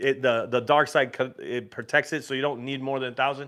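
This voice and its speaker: Fairly quick and fairly high-pitched, a man's voice carries on. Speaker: YouTube host of a cruise and craps channel. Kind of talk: livestream Q&A. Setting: livestream. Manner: fast; casual, with many fillers.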